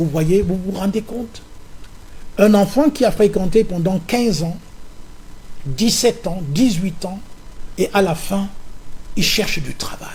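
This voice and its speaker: Over noticeable background noise, a man with a high pitch speaks at a very slow pace, with long, frequent pauses and ordinary pitch variation. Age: 70s. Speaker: opposition politician and farmer. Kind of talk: political interview.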